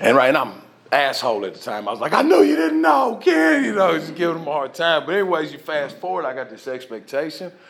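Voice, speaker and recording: With a Southern accent, a man talks very fast with hardly any pauses in a fairly high pitch, his tone animated and his intonation lively, against noticeable background noise. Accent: Southern, sounds country. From US South, Nashville, Tennessee. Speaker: recovery speaker. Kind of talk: testimony.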